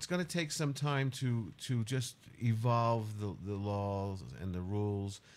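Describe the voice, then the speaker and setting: At a fairly slow pace, a man with a fairly low voice speaks with lively intonation. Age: 60s. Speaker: radio host. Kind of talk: interview. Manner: halting.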